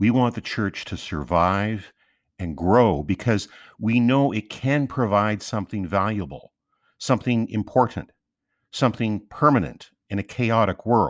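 A man with an unremarkable speaking voice, fairly low in pitch, at a fairly slow pace with ordinary pitch variation, on a very clean recording with a silent background. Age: 50s. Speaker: podcast host. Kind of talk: scripted narration.

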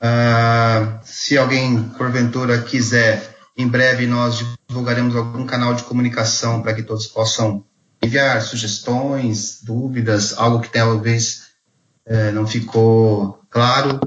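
A man talks at a medium pitch and a very slow pace. His intonation is monotone and flat. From Brazil, Mogi das Cruzes (São Paulo). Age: 40s. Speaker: theology graduate, podcast co-host. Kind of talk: casual chat.

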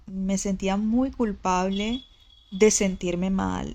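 The recording is very clean, with a silent background. A woman with a medium pitch speaks at a very slow pace with fairly even intonation. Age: 20s. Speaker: image consultant and podcaster. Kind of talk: personal monologue. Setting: lying in bed recording at home. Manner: casual, conversational.

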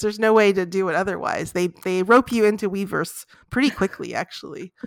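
A woman with an ordinary speaking voice, medium pitch, ordinary pitch variation, and a fairly quick pace. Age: 50s. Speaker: sociology professor and K-pop scholar. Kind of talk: interview.

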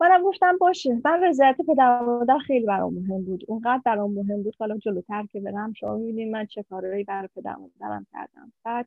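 A woman speaks at a very fast pace and a fairly high pitch with lively intonation. Her loudness swings widely. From Iran, Mashhad. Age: 50s. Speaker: ultrasound technician. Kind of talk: personal life story interview.

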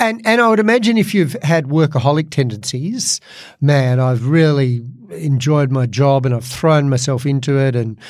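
On a very clean recording with a silent background, a man talks. He has an Australian accent. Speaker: podcast host and comedian. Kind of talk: casual chat.

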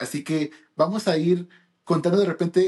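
Fairly even intonation marks a man's speech, which has a dark, mellow tone. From United States (born in Peru). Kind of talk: casual chat.

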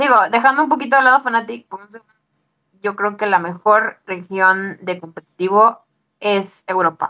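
In a dry, close recording with no echo, a woman's bright, sharp tone moves through ordinary pitch variation while her loudness swings widely. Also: medium pitch for a woman, moderate pace. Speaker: podcast co-host. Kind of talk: casual chat.

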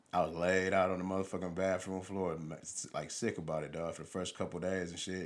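Talking at a very fast pace, a man speaks with a very deep, low pitch. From Highland Park, Michigan (Detroit area). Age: 40s. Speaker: podcast host. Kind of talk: casual chat.

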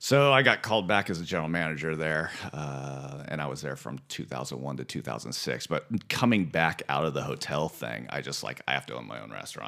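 A man talks at a fairly quick pace in a very deep, low voice with vocal fry. His tone is bright and sharp, with ordinary pitch variation. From US West Coast (Santa Ynez Valley, California). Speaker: restaurant owner. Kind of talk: casual chat.

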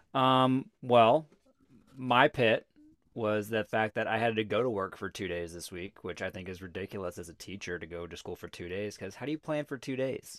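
A man with a plain, everyday voice, fairly low in pitch, ordinary pitch variation and big swings in loudness, at a moderate pace on a very clean recording with a silent background. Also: dry, close sound with no echo. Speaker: podcast host. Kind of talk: casual chat. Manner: chatty, jokey.

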